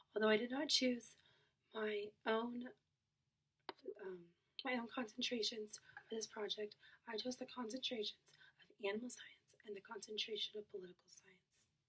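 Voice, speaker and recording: Quiet and fairly high-pitched, a woman speaks at a moderate pace with fairly even intonation, big swings in loudness, and long, frequent pauses. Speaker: college student. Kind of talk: class presentation.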